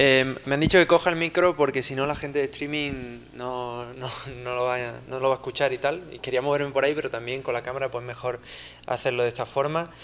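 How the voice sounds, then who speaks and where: A man speaks in an Andalusian accent at a fairly quick pace. His pitch is medium and his intonation fairly even. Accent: Andalusian (Seville) accent, noticeable. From Spain, Seville. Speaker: software engineer, conference speaker. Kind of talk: conference talk. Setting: lecture hall with audience, handheld mic, streamed. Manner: conversational, many fillers.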